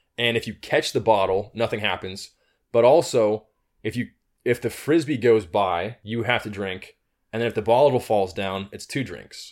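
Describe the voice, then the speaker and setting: On a very clean recording with a silent background, a man with a normal speaking voice talks at a moderate pace in a medium pitch with ordinary pitch variation. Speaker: podcast co-host. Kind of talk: casual banter. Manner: relaxed, joking.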